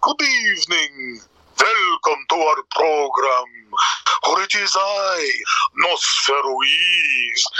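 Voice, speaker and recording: A man's put-on character voice, high-pitched and theatrical, at a very slow pace. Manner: theatrical, formal greeting.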